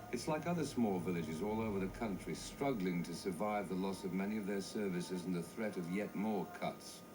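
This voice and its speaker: Noticeable background noise sits behind a man with a fairly low voice. He talks at a fairly quick pace with hardly any pauses and ordinary pitch variation. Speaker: documentary narrator. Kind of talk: TV documentary narration.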